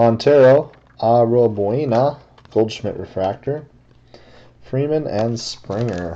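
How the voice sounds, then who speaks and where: The pace is very slow, broken by long, frequent pauses. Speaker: card break host. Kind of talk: live card break narration. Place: home room. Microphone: webcam.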